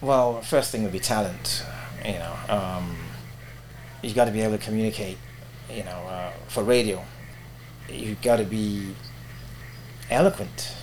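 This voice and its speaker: A man's fairly low voice with lively intonation at a moderate pace, broken by long, frequent pauses, over noticeable background noise. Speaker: radio presenter and voiceover artist. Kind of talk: interview.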